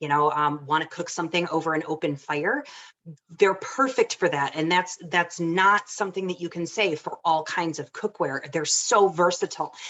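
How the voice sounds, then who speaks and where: A woman with a Michigan accent, fairly low in pitch, at a moderate pace. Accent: Michigan accent, nasal. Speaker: home cook presenting a recipe. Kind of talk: casual demonstration talk.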